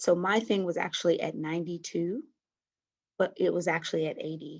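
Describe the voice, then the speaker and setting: Soft-spoken, a woman talks with ordinary pitch variation. The background is quiet. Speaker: COVID-19 survivor. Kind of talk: interview. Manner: halting.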